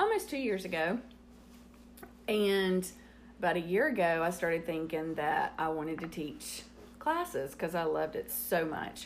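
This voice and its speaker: A woman speaks with a Southern US accent and lively intonation. Her pitch is medium and her pace fairly slow. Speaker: host's mother, guest. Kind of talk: casual chat.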